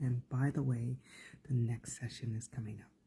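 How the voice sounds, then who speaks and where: A man talks with a dark, mellow tone and a medium pitch. His voice is somewhat breathy. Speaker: life coach. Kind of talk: live stream talk. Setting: Facebook live video. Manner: halting.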